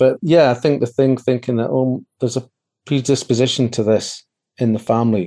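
A man with a Scottish accent speaks at a fairly quick pace. His medium-pitched voice has a dark, mellow tone and fairly even intonation. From Scotland, Edinburgh area. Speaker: adoptee interview guest. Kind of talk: interview, personal life story.

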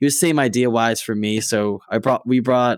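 On a very clean recording with a silent background, a man at medium pitch speaks at a moderate pace in a plain, everyday voice. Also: dry, close sound with no echo. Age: 20s. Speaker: digital marketer. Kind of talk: casual chat.

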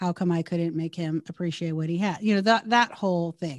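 Recorded with a dry, close sound, no echo and a quiet background, a woman with an American accent speaks at a moderate pace and a fairly low pitch with ordinary pitch variation. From California. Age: 50s. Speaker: breast cancer survivor and nonprofit founder. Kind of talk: interview.

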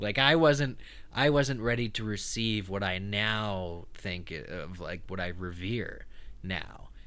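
With an American accent, a bright, sharp voice moves at a very slow pace with lively intonation amid audible room echo. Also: man, fairly low pitch for a man. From eastern Pennsylvania. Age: 30s. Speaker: podcast host. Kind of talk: interview. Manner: talkative.

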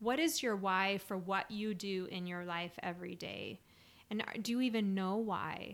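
A woman with an unremarkable speaking voice at medium pitch, fairly slow, with ordinary pitch variation, on a very clean recording with a silent background. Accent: American. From Utah (Salt Lake City). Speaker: podcast co-host, spiritual coach. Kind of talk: casual chat.

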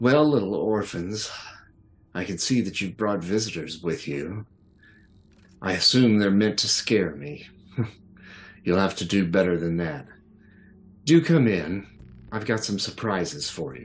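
A man puts on a booming character voice at a fairly low pitch. His intonation is lively and his pace moderate. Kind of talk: formal, mocking. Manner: booming, menacing.

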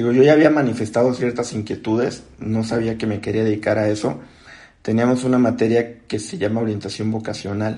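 His voice sits at a medium pitch. The man's tone comes across dark and mellow. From Mexico, Acapulco (Guerrero coast). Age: 20s. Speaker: architect and software technical support lead. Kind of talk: interview podcast conversation. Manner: hesitant, many fillers and repetitions.

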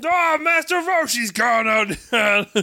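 A man uses a put-on character voice. His pitch is extremely high.

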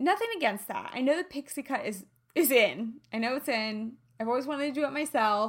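A woman's high, animated voice with lively intonation at a fairly quick pace. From US Midwest. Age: 30s. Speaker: podcast host, health and lifestyle coach. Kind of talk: solo podcast monologue.

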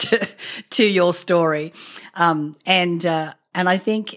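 Recorded very cleanly against a silent background, a woman with an Australian accent speaks at a fairly low pitch with fairly even intonation. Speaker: podcast host. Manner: conversational, frequent fillers.

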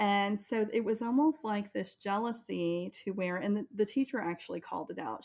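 A plain, everyday voice, its pitch varying ordinarily, its pace moderate. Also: woman. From US military family, raised largely in Florida. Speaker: parent. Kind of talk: casual interview.

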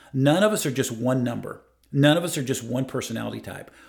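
This man's voice sits at medium pitch and carries vocal fry. He talks at a fairly quick pace with ordinary pitch variation. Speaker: life coach. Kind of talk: casual interview conversation.

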